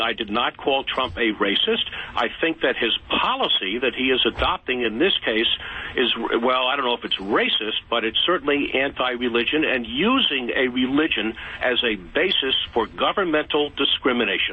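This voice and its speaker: A man at a medium pitch speaks at a moderate pace with very even loudness and ordinary pitch variation, over noticeable background noise. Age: 70s. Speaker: caller. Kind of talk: heated debate. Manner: clear, careful.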